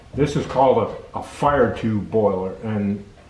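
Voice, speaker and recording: Over light background noise and audible room echo, a man talks at a fairly slow pace, his fairly low voice showing ordinary pitch variation. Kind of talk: tutorial. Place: workshop. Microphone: phone near.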